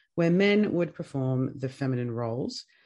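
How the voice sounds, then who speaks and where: A man's somewhat breathy, dark, mellow voice at medium pitch, in an Australian accent, at a moderate pace. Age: 30s. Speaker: podcast host. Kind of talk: scripted narration.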